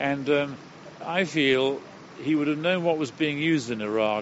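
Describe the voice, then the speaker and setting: A man talks at a moderate pace with ordinary pitch variation. Background noise is noticeable. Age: 70s. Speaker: retired surgeon. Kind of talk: interview. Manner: animated.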